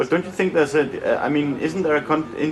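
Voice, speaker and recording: There is noticeable background noise as a man with a Danish accent speaks in a fairly high pitch with ordinary pitch variation. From Denmark. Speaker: documentary filmmaker. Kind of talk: documentary narration; interview.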